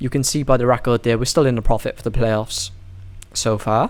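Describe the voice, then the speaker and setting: Here a man speaks at a medium pitch with a British accent. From UK. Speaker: sports betting tipster. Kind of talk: casual betting analysis monologue.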